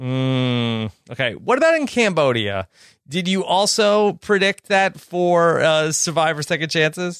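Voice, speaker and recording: A man talks at a fairly slow pace in a high pitch. His pitch swings very widely. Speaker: podcast host. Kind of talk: casual interview chat.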